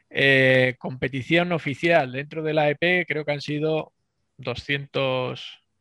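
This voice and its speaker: The sound is dry and close, with no echo at all. Intonation stays fairly even, and the tone is bright and sharp. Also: man. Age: 40s. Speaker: plumber and bench press competitor. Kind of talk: casual interview.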